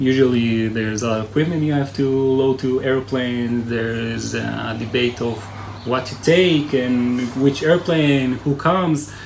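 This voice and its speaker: With an Israeli accent, a man speaks at a fairly slow pace and medium pitch with ordinary variation, amid noticeable background noise and audible room echo. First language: Hebrew. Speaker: army search and rescue commander. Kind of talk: interview. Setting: military base headquarters.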